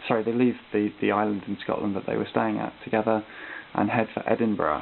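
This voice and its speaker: A man talks over noticeable background noise. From Britain. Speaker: art student. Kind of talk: recorded class presentation. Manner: hesitant, many ums and uhs.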